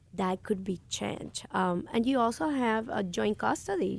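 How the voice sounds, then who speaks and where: A medium-pitched woman with a Puerto Rican accent, lively intonation and a moderate pace. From Puerto Rico. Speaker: lawyer and judicial candidate. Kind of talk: radio interview. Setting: radio studio. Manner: passionate, animated; hesitant with many fillers.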